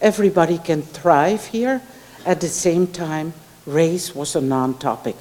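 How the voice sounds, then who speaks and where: A woman talks at a fairly slow pace and a fairly low pitch, with lively intonation. Noticeable background noise sits behind her. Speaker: professor, keynote speaker. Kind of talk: academic Q&A answers. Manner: hesitant, many fillers and restarts.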